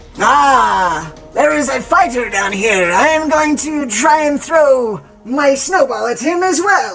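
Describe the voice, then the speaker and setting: In a put-on character voice pitched high, the speaker goes at a fairly slow pace while faint music plays behind. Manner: whiny, comic.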